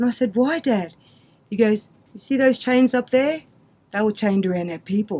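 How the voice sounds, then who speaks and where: A woman at a fairly quick pace with ordinary pitch variation. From Queensland, Australia (Mackay); Queensland, Australia. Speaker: community storyteller. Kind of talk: personal testimony. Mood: earnest, storytelling. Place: studio.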